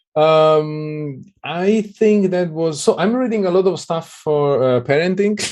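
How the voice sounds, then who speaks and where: With an Italian accent, a man speaks in a high pitch at a fairly slow pace, with ordinary pitch variation and hardly any pauses. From southern Italy. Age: 30s. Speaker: Android developer. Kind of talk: interview.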